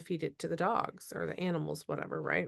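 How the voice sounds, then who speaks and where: A woman with an Upper Midwest accent speaks against a quiet background in a dry, close sound with no echo. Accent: Upper Midwest American. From Minnesota. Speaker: podcast host. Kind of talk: casual interview chat.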